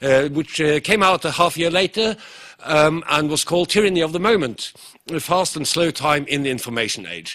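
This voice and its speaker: A man with a Norwegian accent talks at a fairly quick pace with lively intonation. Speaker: professor. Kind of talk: conference lecture. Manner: fast.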